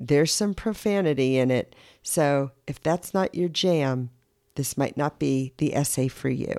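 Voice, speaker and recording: A woman speaks fairly slowly in a very deep, low voice with a dark, mellow tone and lively intonation. The sound is dry and close with no echo, and the recording is very clean with a silent background. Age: 60s. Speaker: podcast host. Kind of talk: solo monologue.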